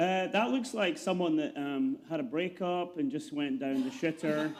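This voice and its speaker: Over noticeable background noise, a man with a Scottish accent speaks at a moderate pace in a high voice that swings very widely in pitch. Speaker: investigative reporter. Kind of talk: comedic interview.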